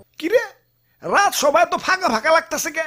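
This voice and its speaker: A cartoonish character voice, extremely high-pitched and pompous, at a fairly quick pace. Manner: pompous, boastful.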